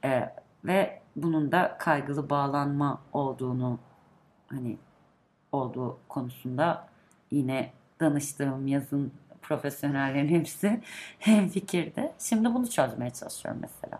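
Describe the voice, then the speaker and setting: With a very deep, low pitch, a woman talks at a fairly slow pace, using ordinary pitch variation and long, frequent pauses. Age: 30s. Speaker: podcast guest, longtime listener. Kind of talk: casual chat.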